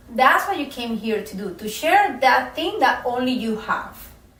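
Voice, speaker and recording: Audible room echo surrounds a woman with a non-native accent whose voice shows very wide pitch swings. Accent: foreign. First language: not English. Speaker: self-help coach. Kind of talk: motivational talk to camera.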